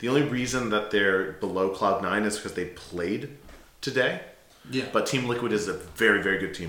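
A man with an American accent speaks at a fairly low pitch and a moderate pace. His pitch varies in an ordinary way, and background noise is noticeable. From United States. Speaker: gaming podcast co-host. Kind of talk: casual chat.

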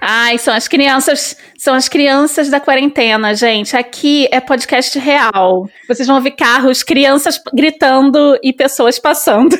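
A woman with a high voice and a Rio de Janeiro accent speaks at a very slow pace. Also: ordinary pitch variation. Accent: Rio (carioca). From Brazil, Rio de Janeiro suburbs. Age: 40s. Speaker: podcast co-host. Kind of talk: casual chat.

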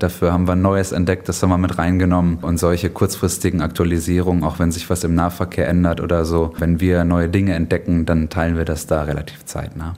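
A man with a very deep, low pitch, speaking at a fairly quick pace in a monotone, flat intonation. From Germany. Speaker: author and blogger about a city. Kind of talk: interview.

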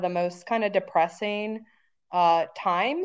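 A normal speaking voice at a moderate pace over a quiet background. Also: woman. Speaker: podcast host. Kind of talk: interview.

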